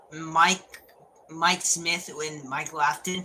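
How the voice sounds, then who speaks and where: The speech moves at a very slow pace. Noticeable background noise runs beneath it. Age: 20s. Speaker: gaming streamer. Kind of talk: casual live stream chat. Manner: halting, repeats words; animated.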